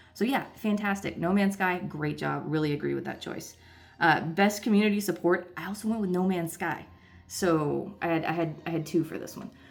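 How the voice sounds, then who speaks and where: A woman with a normal speaking voice keeps a moderate pace and ordinary pitch variation. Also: fairly low pitch for a woman. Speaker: gaming video creator. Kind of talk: casual vlog commentary. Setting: hotel room.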